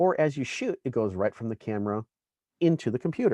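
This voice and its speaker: The sound is dry and close with no echo, the pitch varies in an ordinary way, and the background is quiet. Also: man. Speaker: camera technical specialist teaching a class. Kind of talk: online tutorial class. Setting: online presentation stage. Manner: loud.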